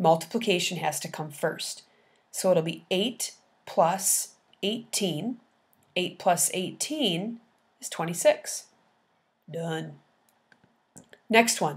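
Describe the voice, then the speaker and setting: On a very clean recording with a silent background, a somewhat breathy woman at a medium pitch speaks at a very slow pace with ordinary pitch variation, big swings in loudness, and long, frequent pauses. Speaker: math teacher. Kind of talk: tutorial.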